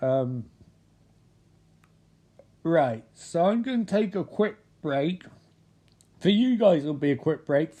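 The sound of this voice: Putting on a character voice, a man sounds hoarse and strained at a high pitch, speaking fairly slowly with long, frequent pauses.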